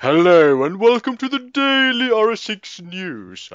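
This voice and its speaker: In a put-on character voice, a man speaks fairly slowly at a high pitch with very wide pitch swings. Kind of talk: formal, broadcast-style.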